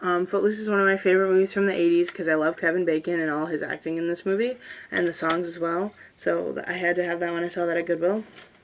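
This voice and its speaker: Noticeable background noise is present throughout. The words come out very fast. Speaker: YouTuber. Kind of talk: casual show-and-tell video. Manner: animated.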